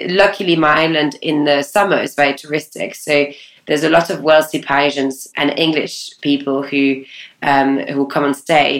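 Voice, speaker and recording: A woman's very deep, low voice in a French accent, with fairly even intonation and a moderate pace. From France. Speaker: talent agency founder. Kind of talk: interview.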